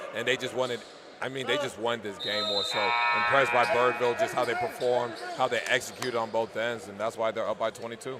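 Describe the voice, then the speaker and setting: Amid noticeable background noise and audible room echo, a man at medium pitch speaks at a very fast pace in a monotone, flat intonation. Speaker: color commentator, former basketball player. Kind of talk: live commentary. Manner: loud.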